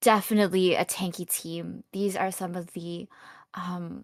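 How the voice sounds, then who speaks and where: A woman's medium-pitched voice, fairly even in intonation, in a dry, close sound with no echo. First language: not English. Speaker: esports caster. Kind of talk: live commentary.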